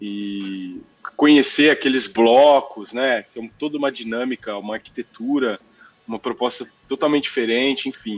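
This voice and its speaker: Talking at a moderate pace, a man with an unremarkable speaking voice sits at medium pitch and shows ordinary pitch variation. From Brazil, Mococa (São Paulo state). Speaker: physician and tech business lead. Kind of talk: casual interview chat.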